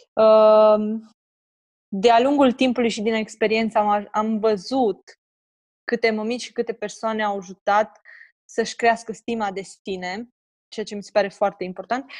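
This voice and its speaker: At a fairly slow pace, a woman talks with fairly high pitch, monotone, flat intonation and big swings in loudness. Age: 20s. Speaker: personal trainer for mothers. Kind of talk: interview, casual chat.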